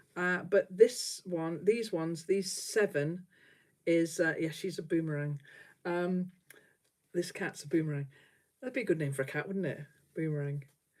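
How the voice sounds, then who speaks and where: With a Lancashire accent, a woman speaks with ordinary pitch variation and long, frequent pauses. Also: fairly low pitch for a woman, moderate pace. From northern England. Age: 60s. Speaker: quilter. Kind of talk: casual chat. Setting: livestream.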